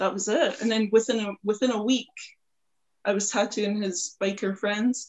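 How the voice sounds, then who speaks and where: Here is a woman with a plain, everyday voice. Her pitch is fairly high and her intonation fairly even. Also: moderate pace. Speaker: tattooist.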